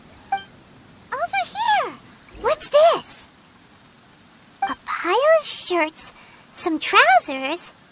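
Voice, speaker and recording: Pitched extremely high, a put-on character voice moves at a very slow pace with long, frequent pauses. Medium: video game. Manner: chatty.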